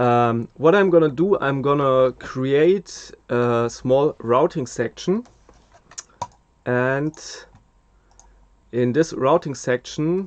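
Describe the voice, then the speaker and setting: Speaking with a German accent at a very slow pace, a man uses a fairly high pitch with ordinary variation and long, frequent pauses, the sound dry and close with no echo. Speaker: mastering engineer. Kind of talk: tutorial. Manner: hesitant, many fillers.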